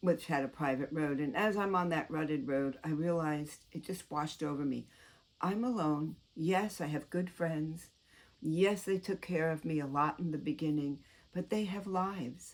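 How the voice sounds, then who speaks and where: On a very clean recording with a silent background, a woman with an American accent speaks at a moderate pace in a very deep, low voice. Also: ordinary pitch variation. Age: 70s. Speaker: YouTuber. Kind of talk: casual monologue to camera. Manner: chatty, rambling.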